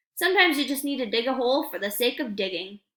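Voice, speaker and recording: Using a put-on character voice, a woman speaks at a very fast pace with a high pitch. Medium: read story. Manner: sardonic.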